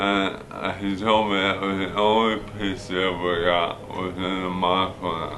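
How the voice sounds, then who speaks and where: In a room with audible echo, a man with a very deep, low voice talks in a flat monotone with hardly any pauses. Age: 60s. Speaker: war veteran. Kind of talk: testimony. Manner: halting.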